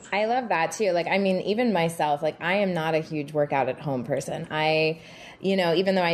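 Music plays behind a speaker with an American accent. The pace is fairly quick, with ordinary pitch variation. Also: woman. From Texas. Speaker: personal trainer and fitness producer. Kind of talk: casual interview chat.

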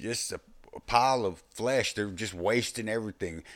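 Speaking with a Texas accent and ordinary pitch variation, a man is heard on a very clean recording with a silent background. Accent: Southern US, Texas. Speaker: former prison inmate, podcaster. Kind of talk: casual storytelling monologue. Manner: casual, rambling, profane.

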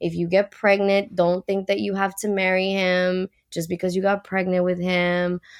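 On a very clean recording with a silent background, a woman speaks at medium pitch with a Puerto Rican accent. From Puerto Rico. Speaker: professional mermaid and activist. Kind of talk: casual interview.

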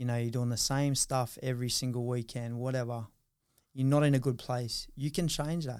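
Here a man speaks with an Australian accent at medium pitch, his tone dark and mellow. He keeps a moderate pace in a very clean recording with a silent background. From Australia, Newcastle NSW. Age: 30s. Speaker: former rugby league player. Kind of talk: interview, casual chat.

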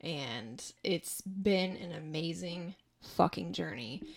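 This woman has a fairly low pitch. Vocal fry runs through her voice. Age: 30s. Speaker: podcast host. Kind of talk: casual monologue. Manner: casual with frequent fillers.

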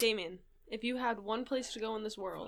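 A woman at a fairly high pitch talks at a moderate pace with vocal fry and ordinary pitch variation. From Rhode Island. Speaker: podcast co-host. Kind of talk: casual chat.

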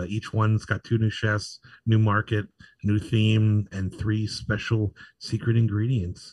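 A man with an American accent and a fairly low pitch speaks in a monotone, flat, somewhat breathy way on a very clean recording with a silent background. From Pittsburgh, western Pennsylvania. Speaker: food blogger, TV cooking show judge. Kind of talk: casual chat. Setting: live podcast at a bar stage.

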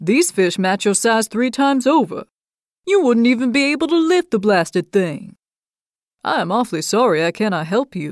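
A gruff, mumbling put-on character voice with a fairly high pitch moves along at a moderate pace. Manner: gruff, kindly, mumbling.

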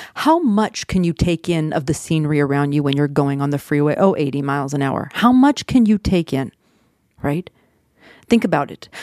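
A woman's very deep, low-pitched voice with a dark, mellow tone. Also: lively intonation, dry, close sound with no echo. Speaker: therapist podcast host. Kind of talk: solo podcast monologue with tips. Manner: fast talker, excitable.

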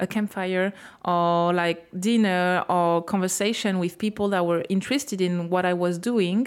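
A woman speaks at a moderate pace with a French accent. Her pitch is medium and her intonation fairly even. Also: very clean recording, silent background. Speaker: podcast host. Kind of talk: interview. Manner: halting.

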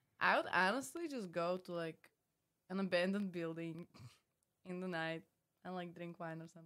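The speaker uses a Slovak accent and a bright, sharp tone, with fairly even intonation, big swings in loudness, a moderate pace and long, frequent pauses. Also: woman, fairly low pitch for a woman. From Slovakia. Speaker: reality TV contestant. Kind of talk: casual chat.

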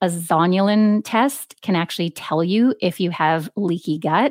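With a Canadian accent and an ordinary speaking voice, a woman talks at a fairly slow pace in a medium pitch, the sound dry and close with no echo on a very clean recording with a silent background. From Canada. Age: 40s. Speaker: registered dietitian and author. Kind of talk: interview. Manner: accessible, clear explanations.

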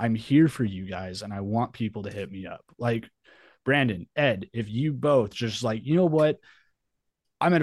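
This man speaks in a normal speaking voice at a medium pitch with ordinary pitch variation. The background is quiet. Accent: American. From New Mexico, US. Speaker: metal musician and Navy veteran. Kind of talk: casual interview.

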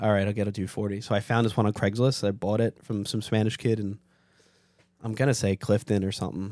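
In a New York accent, a man rattles along at a very fast pace, his fairly low pitch kept to a monotone, flat intonation. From New York City (Staten Island). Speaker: car enthusiast. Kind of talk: casual chat.

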